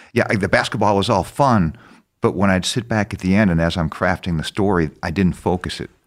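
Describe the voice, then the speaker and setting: In a very clean recording with a silent background, a man with an American accent speaks at a fairly quick pace with vocal fry. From US Midwest, Madison, Wisconsin. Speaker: documentary filmmaker. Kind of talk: interview conversation. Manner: halting.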